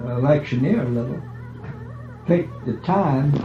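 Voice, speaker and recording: Music plays in the background as a man speaks. His intonation is lively and his pace moderate. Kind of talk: family oral history interview. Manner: casual, conversational.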